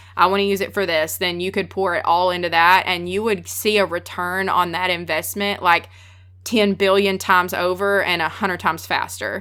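The voice carries a strong Southern US accent and a bright, sharp tone. Its intonation stays monotone and flat. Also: woman, fairly low pitch for a woman, moderate pace. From US South, Texas. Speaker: freelance photographer. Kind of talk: casual interview chat.

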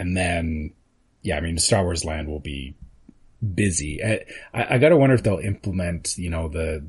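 Speaking at a moderate pace, a man with a Canadian accent has a very deep, low pitch, a somewhat breathy sound and ordinary pitch variation. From Canada. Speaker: podcast co-host. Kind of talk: casual chat. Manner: announcer-style inflections.

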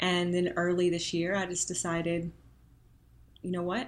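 A woman speaks at a moderate pace with a fairly low pitch and a slight Southern US accent. The recording is very clean, with a silent background. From Arkansas. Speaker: Senate candidate, former attorney. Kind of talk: interview conversation.

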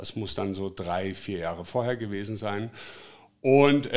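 Using a plain, everyday voice, a man speaks at a moderate pace with ordinary pitch variation. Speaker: drone filming company founder. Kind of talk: interview. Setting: in his workshop.

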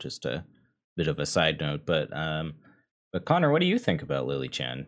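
This man's pitch is very deep and low. His voice has vocal fry. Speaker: podcast host. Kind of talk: casual chat.

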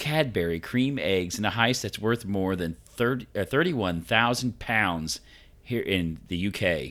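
The recording is very clean, with a silent background. A man talks with lively intonation in a plain, everyday voice. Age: 40s. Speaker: podcast co-host. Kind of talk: casual chat.

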